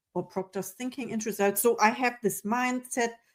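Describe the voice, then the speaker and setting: A woman is speaking. She talks with a non-native accent. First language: not English. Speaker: podcast host. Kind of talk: interview conversation.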